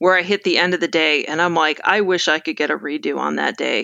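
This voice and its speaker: With a bright, sharp tone and vocal fry, a woman talks at a moderate pace and medium pitch over a quiet background. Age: 40s. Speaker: ecologist, former professor. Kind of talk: casual interview.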